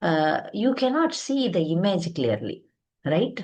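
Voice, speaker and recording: A woman with an Indian accent, very slow, with vocal fry and very wide pitch swings. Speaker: spiritual teacher. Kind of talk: lecture. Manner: halting.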